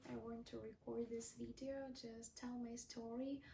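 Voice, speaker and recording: A woman with a non-native accent speaks very slowly in a high-pitched voice with a dark, mellow tone. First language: not English. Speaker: vlogger. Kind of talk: casual monologue. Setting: talking to a mirror on camera. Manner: unscripted, with fillers.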